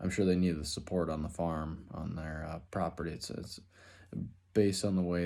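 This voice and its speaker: A man with an Upper Midwest accent speaks at a very deep, low pitch in a monotone, flat intonation. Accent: Upper Midwest (Minnesota). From Minnesota, Twin Cities area. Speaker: student, finish carpenter. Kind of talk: class introduction video. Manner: casual, halting with fillers.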